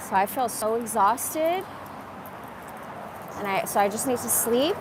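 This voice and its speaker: Against noticeable background noise, a woman with a fairly high pitch and an animated tone talks at a moderate pace. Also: lively intonation. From Iran. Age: 40s. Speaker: live streamer. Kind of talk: casual live stream chat.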